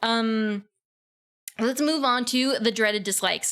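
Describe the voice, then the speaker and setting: With an American accent, a woman speaks at a fairly slow pace in a high pitch, keeping her intonation fairly even. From US South. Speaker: vtuber streamer. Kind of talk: casual livestream self-introduction. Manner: hesitant, many fillers.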